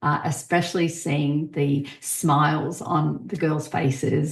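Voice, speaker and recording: This woman has a very deep, low voice with an Australian accent. It is somewhat breathy, and her delivery is flat and monotone. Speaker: podcast host. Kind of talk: casual podcast monologue. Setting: podcast recording.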